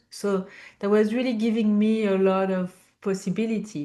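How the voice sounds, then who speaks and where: This woman talks at a medium pitch in a French accent. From France. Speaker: business founder and CEO. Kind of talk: interview. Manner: halting, many fillers.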